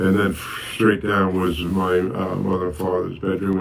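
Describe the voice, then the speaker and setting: A man speaks in a very deep, low pitch with an American accent. There is noticeable background noise. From Bronx, New York City. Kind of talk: oral history interview answer.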